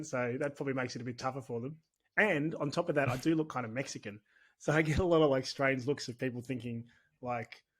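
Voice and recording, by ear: A man puts on a raspy character voice in an Australian accent, the accent part of the act. He talks at a very fast pace at medium pitch.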